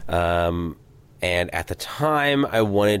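At a very slow pace, a man talks with a Midwestern American accent. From US Midwest, St. Louis, Missouri. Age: 20s. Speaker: blind hockey player and retail worker. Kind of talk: casual interview. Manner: hesitant, many fillers.

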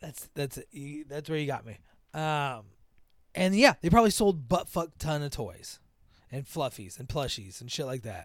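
A man's fairly high voice, lively in intonation, at a moderate pace with long, frequent pauses, in a very clean recording with a silent background. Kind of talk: casual chat.

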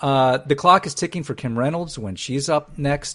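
A man speaks with lively intonation and a somewhat breathy voice. The background is quiet. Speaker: podcast host. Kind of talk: angry political rant. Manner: sarcastic; animated.

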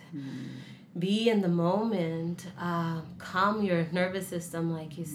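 A woman's fairly low voice, fairly even in intonation, with audible room echo. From Mexico-born, raised in San Diego. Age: 20s. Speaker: immigrant sharing life story. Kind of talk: interview testimony.

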